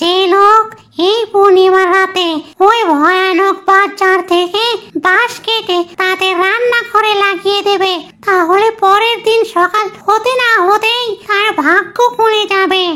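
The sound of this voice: A cartoonish character voice, female-sounding and extremely high-pitched, at a fairly slow pace.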